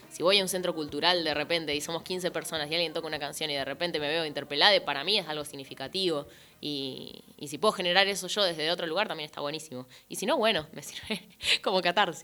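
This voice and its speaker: Speaking very fast, a woman has a bright, sharp tone at a fairly low pitch. Her pitch variation is ordinary. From Argentina, Entre Ríos (Concepción del Uruguay). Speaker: musician and poet. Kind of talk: interview.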